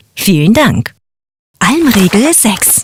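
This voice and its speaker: Recorded dry and close with no echo, a woman's somewhat breathy voice moves through very wide pitch swings. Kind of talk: formal standard German announcement. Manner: polite, formal.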